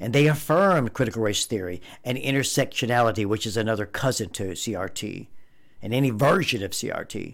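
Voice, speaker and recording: A man with an ordinary speaking voice and an American accent, medium pitch, lively intonation and a fairly quick pace, in a very clean recording with a silent background. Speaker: podcast host, conservative commentator. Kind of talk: angry rant. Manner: indignant, heated, accusatory.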